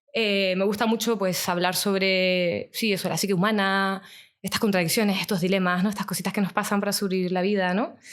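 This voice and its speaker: This woman talks at a fairly quick pace in a Canarian accent. Her medium-pitched voice is monotone and flat. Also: very even loudness. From Canary Islands (Tenerife). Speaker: psychologist and podcaster. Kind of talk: casual interview chat.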